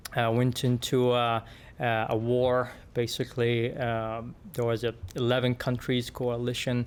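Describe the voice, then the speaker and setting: A man in an Arabic accent at medium pitch, fairly slow pace and monotone, flat intonation. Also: very even loudness. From Yemen. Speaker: engineer. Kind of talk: podcast interview. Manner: halting, many fillers and repeats.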